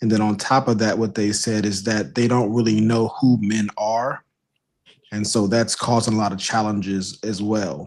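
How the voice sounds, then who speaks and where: This is an unremarkable speaking voice. Its intonation is fairly even. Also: man, fairly low pitch for a man, moderate pace. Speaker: podcast host. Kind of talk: panel discussion.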